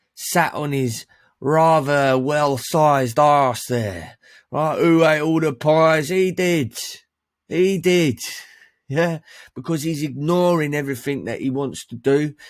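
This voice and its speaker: Speaking at a very slow pace with a London accent, a man uses a fairly high pitch and ordinary pitch variation. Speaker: men's life coach. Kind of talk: online training presentation. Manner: animated.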